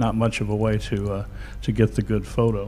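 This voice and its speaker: Speaking at a moderate pace, a man has a plain, everyday voice with a fairly low pitch. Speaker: photography expert. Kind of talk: informative talk.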